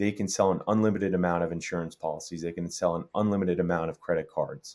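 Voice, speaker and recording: A very fast man with a New York accent, very deep and low in pitch, with fairly even intonation. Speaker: tech startup co-founder. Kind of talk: interview.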